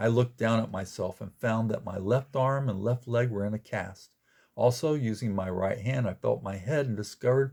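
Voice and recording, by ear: Reading aloud in a natural voice, with ordinary pitch variation against a quiet background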